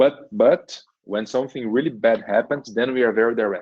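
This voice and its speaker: A man speaks with a Portuguese accent. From Brazil. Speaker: engineering manager. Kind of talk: podcast interview. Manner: repeats words, halting.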